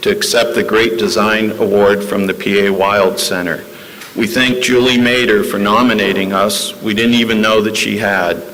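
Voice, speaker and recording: A man with a fairly low pitch, moderate pace and fairly even intonation, amid noticeable background noise and audible room echo. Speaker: judge accepting award. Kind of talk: award acceptance speech.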